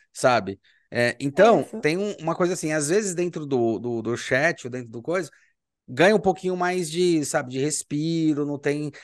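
It is a plain, everyday voice with lively intonation at a moderate pace. The background is quiet. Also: man, fairly high pitch for a man. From Brazil. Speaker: podcast host and university professor. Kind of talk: casual interview.

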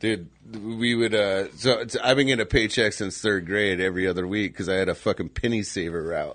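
A man with an American accent talks at a fairly quick pace in a plain, everyday voice. His pitch is fairly low and his intonation fairly even. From Phoenix area, Arizona. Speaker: podcast host. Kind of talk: casual chat.

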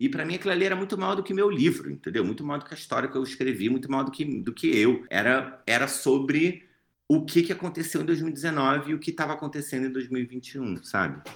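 Speaking with a Rio de Janeiro accent at a fairly quick pace and hardly any pauses, a man uses a fairly high pitch, lively intonation and vocal fry. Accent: Carioca Brazilian Portuguese. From Brazil, Rio de Janeiro. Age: 30s. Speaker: author and actor. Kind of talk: interview.

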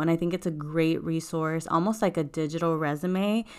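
Here is a normal speaking voice at a moderate pace with fairly even intonation. The recording is very clean, with a silent background. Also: woman. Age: 20s. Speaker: podcast host. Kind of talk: casual solo podcast talk.

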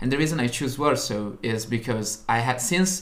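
A man speaks with an Italian accent at a medium pitch, with ordinary pitch variation. Noticeable background noise runs behind him. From Italy, Turin (north). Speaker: university student, podcast co-host. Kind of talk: casual chat.

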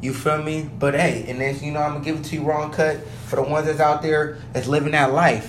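The fairly high-pitched voice of a man comes through audible room echo and noticeable background noise. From South Sacramento, California. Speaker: podcast host. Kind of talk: casual monologue. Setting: home basement. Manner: animated.

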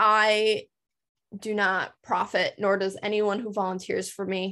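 With an American accent, a woman speaks at a fairly slow pace in a fairly high pitch, her intonation monotone and flat, on a very clean recording with a silent background. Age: 20s. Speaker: nonprofit founder and nursing student. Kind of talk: interview.

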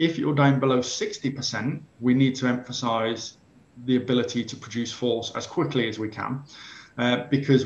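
Speaking at a moderate pace in a monotone, flat intonation, a man with an English accent has a medium pitch and a somewhat breathy voice. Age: 40s. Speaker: sports science professor. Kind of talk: interview.

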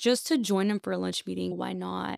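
The speaker has an American accent. The recording is very clean with a silent background, and the sound is dry and close with no echo. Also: woman. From US South, Texas (McAllen, Rio Grande Valley). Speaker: financial advisor. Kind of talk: casual chat.

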